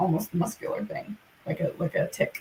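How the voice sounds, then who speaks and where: Background noise can be clearly heard. Over it, a woman talks at a moderate pace. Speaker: content creator. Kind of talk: live stream chat. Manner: halting.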